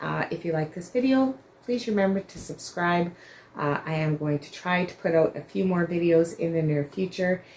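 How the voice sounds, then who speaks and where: This woman mumbles at a moderate pace in a fairly low pitch, with ordinary pitch variation and big swings in loudness. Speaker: crochet vlogger. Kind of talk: casual vlog chat. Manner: mumbling; halting with many fillers.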